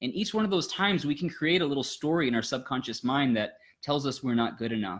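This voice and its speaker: Speaking at a very fast pace with lively intonation, a man with a fairly high voice comes through on a very clean recording against a silent background. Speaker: life coach and channel host. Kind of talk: casual chat. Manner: loud, intense; animated.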